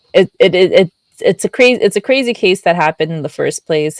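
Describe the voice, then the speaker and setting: A woman speaks quietly. The sound is dry and close, with no echo. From Pennsylvania, US. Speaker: podcast co-host. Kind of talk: casual chat. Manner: giggly, hesitant with filler words.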